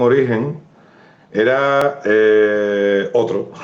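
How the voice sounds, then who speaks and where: A man with an Andalusian accent, ordinary pitch variation, and audible room echo. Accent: Cádiz. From Andalusia, San Fernando (Cádiz). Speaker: writer. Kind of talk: live interview. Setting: Instagram live video stream.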